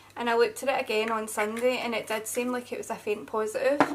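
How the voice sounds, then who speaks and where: At a fairly quick pace, a woman with a Scottish accent speaks in a fairly high pitch with ordinary pitch variation. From Scotland. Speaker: beauty vlogger. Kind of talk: casual chat. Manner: chatty.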